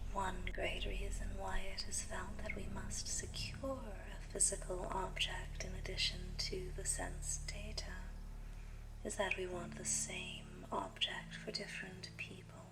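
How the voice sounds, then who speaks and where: Whispering at a fairly slow pace, a woman uses a soothing tone, with noticeable background noise behind her. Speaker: ASMR reader, audiobook-style narrator. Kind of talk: ASMR philosophy reading, relaxing book narration. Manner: soothing, soft-spoken.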